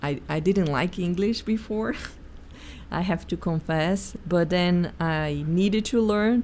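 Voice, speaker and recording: Her pace is very slow, and the woman speaks with a Portuguese accent. She has a fairly low pitch with ordinary pitch variation. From Brazil, Sao Paulo. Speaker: executive coach. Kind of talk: interview.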